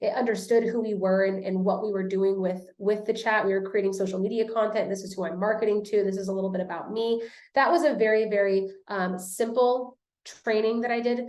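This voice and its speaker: A woman at medium pitch, fairly quick, with fairly even intonation and audible room echo. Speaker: social media marketing coach. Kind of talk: webinar presentation. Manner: fast.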